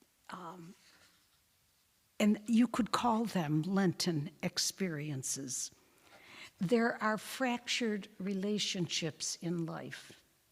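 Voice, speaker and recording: At a very slow pace and medium pitch, a woman speaks with lively intonation, big swings in loudness, and long, frequent pauses. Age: 90s. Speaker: religious sister giving a Lenten talk. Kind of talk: parish talk with audience discussion. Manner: halting, with fillers and restarts.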